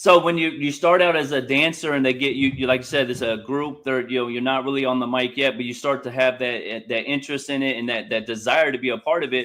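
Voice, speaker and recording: A man's medium-pitched voice with an American accent, very fast with hardly any pauses, fairly even in intonation, over noticeable background noise. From Indianapolis, US Midwest. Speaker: interviewer. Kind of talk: interview.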